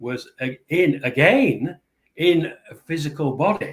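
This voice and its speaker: Somewhat breathy, a man's voice carries the speech. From Yorkshire, northern England. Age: 70s. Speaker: ET contactee and spiritual author. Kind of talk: interview conversation.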